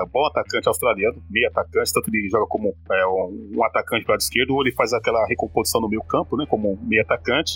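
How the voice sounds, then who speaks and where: A man talks at a very fast pace with hardly any pauses and very even loudness. The sound is dry and close, with no echo. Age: 40s. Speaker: football podcast co-host. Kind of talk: casual chat.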